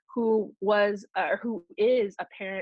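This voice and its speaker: A woman's unremarkable speaking voice at medium pitch, with fairly even intonation. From Oklahoma. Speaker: Native breastfeeding advocate and student midwife. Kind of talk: interview conversation.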